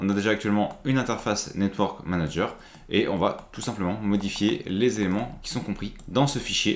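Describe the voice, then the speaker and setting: Audible room echo surrounds a man's fairly low voice with vocal fry. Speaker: IT tutorial creator. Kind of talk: tutorial. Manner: casual, with frequent hesitations.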